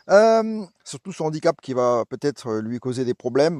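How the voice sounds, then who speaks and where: The sound is dry and close, with no echo. The speaker is a man. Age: 60s. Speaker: vlogger, cycling adventurer. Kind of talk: vlog presentation. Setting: outdoors in a forest. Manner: halting, many hesitations.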